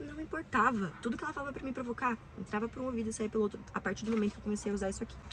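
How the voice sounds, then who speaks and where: A woman at a very fast pace, fairly high in pitch, with ordinary pitch variation and an animated tone, amid noticeable background noise. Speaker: self-help video creator. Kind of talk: casual advice monologue.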